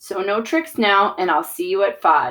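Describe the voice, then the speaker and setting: Putting on a raspy character voice, a woman talks at a moderate pace and medium pitch. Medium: read story. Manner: sugary, scheming.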